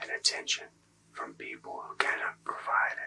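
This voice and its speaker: A man whispers at a fairly slow pace. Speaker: ASMR Reiki practitioner and academic. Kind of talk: ASMR Reiki healing session. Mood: calm, soothing. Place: home room.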